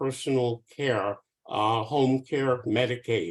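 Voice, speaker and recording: A man speaks at a medium pitch. His pace is very slow. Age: 70s. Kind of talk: panel discussion. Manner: halting.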